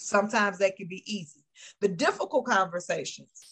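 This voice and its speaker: A woman speaks in a somewhat breathy voice at medium pitch, with fairly even intonation. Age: 50s. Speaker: motivational speaker and life coach. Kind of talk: casual interview.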